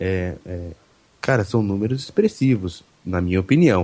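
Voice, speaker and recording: The man's voice is somewhat breathy with a dark, mellow tone. He speaks at a moderate pace. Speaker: podcaster. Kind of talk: casual chat. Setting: online group call. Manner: speaks very close to mic, breathy puffs.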